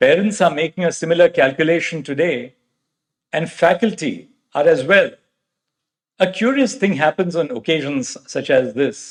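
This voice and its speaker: With an Indian accent, a man at a fairly high pitch moves at a moderate pace through very wide pitch swings and long, frequent pauses. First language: Marathi. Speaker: judge. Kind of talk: convocation address. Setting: convocation hall with audience. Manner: formal.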